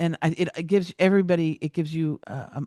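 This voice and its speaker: A woman's normal speaking voice, fairly low in pitch, at a moderate pace, with a dry, close sound with no echo and a quiet background. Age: 60s. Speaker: business coach. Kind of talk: interview conversation.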